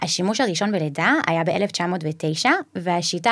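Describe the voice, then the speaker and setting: A woman speaks at a fairly low pitch, with ordinary pitch variation. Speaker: anesthesiologist. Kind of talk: interview.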